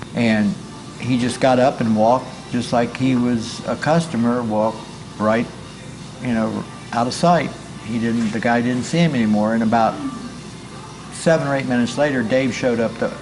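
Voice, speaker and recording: A man speaks at a medium pitch and moderate pace, with fairly even intonation and long, frequent pauses. Music plays in the background, and the room has audible echo. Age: 70s. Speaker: former restaurant owner. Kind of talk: interview, ghost story. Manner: halting, many fillers.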